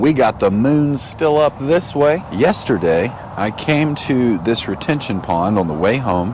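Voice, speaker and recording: A man talks at a medium pitch. Noticeable background noise can be heard behind him. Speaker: fishing YouTuber. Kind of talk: outdoor fishing vlog.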